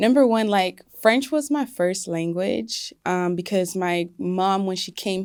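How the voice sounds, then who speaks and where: On a very clean recording with a silent background, a woman speaks with an American accent at medium pitch. Her pace is very slow, yet she leaves hardly any pauses. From US South, Atlanta, Congolese family. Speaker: singer. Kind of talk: interview. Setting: studio. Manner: casual, many fillers.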